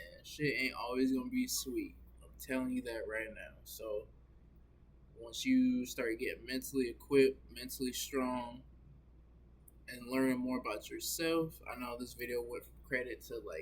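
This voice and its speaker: The speech moves at a moderate pace with big swings in loudness. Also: man. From US South (Augusta, Georgia). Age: 20s. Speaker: vlogger. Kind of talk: casual vlog monologue. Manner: casual, filler-heavy.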